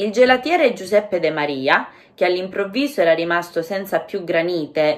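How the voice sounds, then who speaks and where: Her pace is moderate. This woman's voice has very wide pitch swings. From Calabria, Catanzaro. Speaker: Italian language teacher. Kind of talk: language-learning listening lesson narration.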